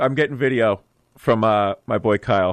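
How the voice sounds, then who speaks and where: A man speaks with ordinary pitch variation. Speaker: community radio show co-host. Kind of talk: casual chat. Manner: fast.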